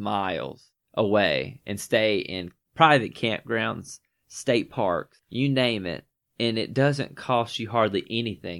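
The speaker has a Southern US accent, vocal fry and lively intonation, and goes at a fairly slow pace. The recording is very clean against a silent background. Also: man. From Northwest Georgia. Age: 20s. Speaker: podcast host. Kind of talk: casual chat.

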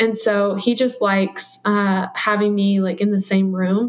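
In an American accent, a woman speaks at a medium pitch with monotone, flat intonation. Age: 20s. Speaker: homemaker. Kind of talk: interview. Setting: remote video call.

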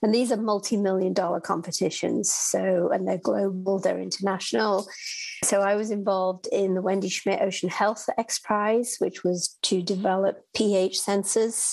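With a British accent, a woman speaks at a moderate pace, keeping a medium pitch, fairly even intonation and very even loudness. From United Kingdom. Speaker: executive director of ocean research nonprofit. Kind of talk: interview.

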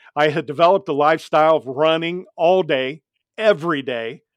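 A man with an American accent uses a normal speaking voice at a fairly high pitch, the sound dry and close with no echo over a quiet background. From US Midwest (Ohio). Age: 60s. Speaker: safety speaker, former excavator and accident survivor. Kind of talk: testimony.

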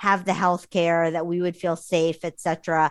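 On a very clean recording with a silent background, a woman talks at a fairly low pitch with monotone, flat intonation. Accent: American. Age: 40s. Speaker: early retiree and blogger. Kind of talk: interview.

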